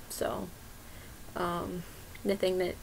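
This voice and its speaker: A woman with an American accent, a fairly low pitch and vocal fry. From Iowa, US Midwest. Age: 20s. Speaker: YouTuber, grocery store worker. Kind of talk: casual vlog, answering questionnaire. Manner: hesitant, many fillers (um).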